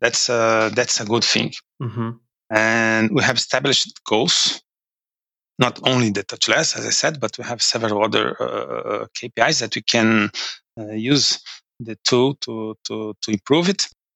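Speaking at a fairly slow pace with a Portuguese accent, the voice shows vocal fry and ordinary pitch variation. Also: man, medium pitch for a man. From Brazil. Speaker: finance manager. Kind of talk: interview. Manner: halting.

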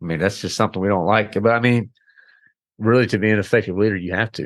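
Speaking very fast with fairly even intonation, a man comes through in a dry, close sound with no echo against a quiet background. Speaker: engineering manager and podcast host. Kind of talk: interview.

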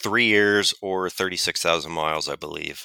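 A man's fairly low-pitched, plain, everyday voice at a moderate pace. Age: 30s. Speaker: auto technician. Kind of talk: casual chat.

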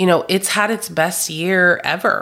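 A woman speaks at a fairly slow pace with fairly even intonation and a bright, sharp tone. The recording is very clean, with a silent background. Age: 30s. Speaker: podcast host, therapy practice owner. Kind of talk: solo reflective monologue. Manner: conversational.

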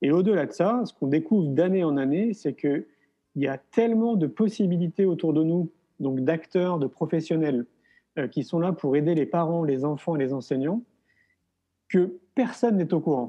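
Speaking at a moderate pace, a man with a high pitch leaves long, frequent pauses. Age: 40s. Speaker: filmmaker and education event organizer. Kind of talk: interview. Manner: hesitant with fillers.

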